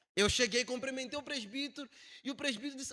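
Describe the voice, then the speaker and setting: A man speaks in an animated tone. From Angola. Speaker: missionary preacher. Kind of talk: sermon. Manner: animated storytelling.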